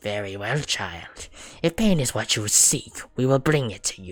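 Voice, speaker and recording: Putting on a character voice, a man with a medium pitch speaks at a moderate pace in a menacing tone, breaking into cackling. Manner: cackling, menacing.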